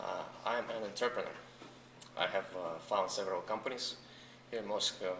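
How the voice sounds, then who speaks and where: The speaker is a man. His voice carries audible room echo amid noticeable background noise. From Russia, Saint Petersburg; US from age 14. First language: Russian. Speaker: entrepreneur. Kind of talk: interview.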